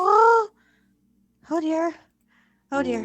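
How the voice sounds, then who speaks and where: A woman uses a put-on character voice. It is squeaky and extremely high-pitched. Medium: actual play. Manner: fretful, exclaims softly.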